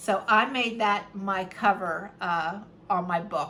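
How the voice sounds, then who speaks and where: A woman uses a plain, everyday voice at medium pitch, with ordinary pitch variation. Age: 50s. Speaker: fashion and subscription video creator. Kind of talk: casual talk to camera.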